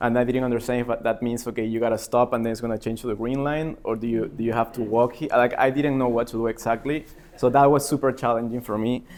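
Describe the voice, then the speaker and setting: The speaker has a Spanish accent and a monotone, flat intonation. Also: man. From Peru. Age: 30s. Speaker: MBA student. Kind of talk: personal speech at open mic event. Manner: hesitant, many fillers.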